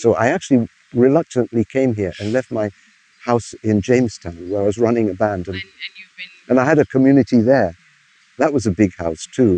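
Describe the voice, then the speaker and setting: A man with a medium pitch and a dark, mellow tone speaks at a fairly quick pace with ordinary pitch variation and long, frequent pauses, in a dry, close sound with no echo. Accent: English. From England, Bristol. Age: 70s. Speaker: music historian and musician. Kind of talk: interview answer.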